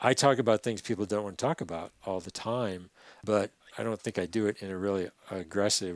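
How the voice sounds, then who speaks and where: An ordinary speaking voice from a man, fairly low in pitch, at a fairly quick pace with ordinary pitch variation, dry and close with no echo, on a very clean recording with a silent background. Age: 60s. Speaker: river conservation activist. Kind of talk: podcast interview.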